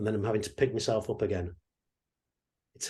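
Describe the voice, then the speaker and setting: A man's somewhat breathy, dark, mellow voice with an English accent and ordinary pitch variation. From England. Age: 60s. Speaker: mindset coach. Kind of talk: online workshop talk.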